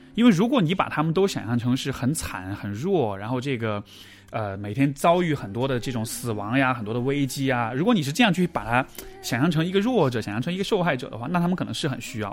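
Over noticeable background noise, the voice races at a very fast pace with very wide pitch swings. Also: man, fairly high pitch for a man. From China, Chengdu (Sichuan). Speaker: psychological counselor. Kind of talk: conversational interview.

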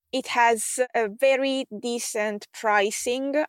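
In an Italian accent, the voice comes across dry and close with no echo. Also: woman. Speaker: podcast host and tech expert for online coaches. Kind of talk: solo podcast monologue, scripted-style tutorial.

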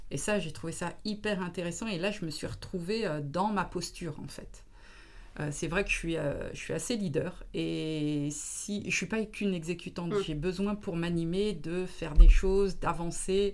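There is audible room echo as a woman speaks at a fairly low pitch with ordinary pitch variation. Her pace is fairly slow, with big swings in loudness. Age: 40s. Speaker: business consultant. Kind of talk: interview.

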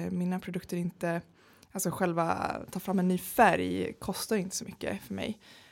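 A woman at a moderate pace, in a very clean recording over a silent background. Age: 30s. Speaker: entrepreneur. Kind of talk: interview. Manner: hesitant with many fillers.

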